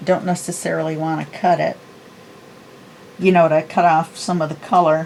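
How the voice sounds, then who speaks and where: Over noticeable background noise, a woman with a fairly low pitch speaks at a moderate pace in a monotone, flat intonation, leaving long, frequent pauses. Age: 60s. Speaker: papercraft video creator. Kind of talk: tutorial; casual chat. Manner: casual, chatty.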